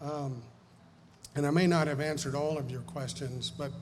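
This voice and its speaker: A man with a fairly high, somewhat breathy voice speaks at a moderate pace with fairly even intonation. Audible room echo surrounds him. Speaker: estate planning lawyer. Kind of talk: seminar talk. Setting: live audience.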